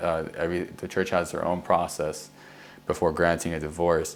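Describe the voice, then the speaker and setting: A man speaks with a very deep, low pitch. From US (immigrated from Egypt at age four). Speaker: Marine veteran. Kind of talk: interview storytelling. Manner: casual, hesitant with fillers and restarts.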